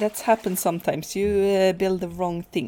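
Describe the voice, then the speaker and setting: With a Swedish accent, a woman speaks at a moderate pace in a dark, mellow tone with ordinary pitch variation. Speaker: gaming youtuber. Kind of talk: gameplay commentary. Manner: halting, many fillers.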